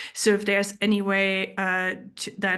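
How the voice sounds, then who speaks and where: A woman talks in a German accent. The background is quiet. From Germany. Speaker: geoscience researcher and speaker. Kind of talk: presentation talk. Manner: halting with fillers.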